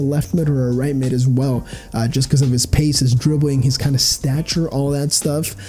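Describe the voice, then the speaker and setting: Over noticeable background noise, a man with a fairly high voice talks at a fairly quick pace, his loudness very even and his pauses hardly there. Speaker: gaming youtuber. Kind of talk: gameplay commentary voiceover. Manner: casual, many filler ums.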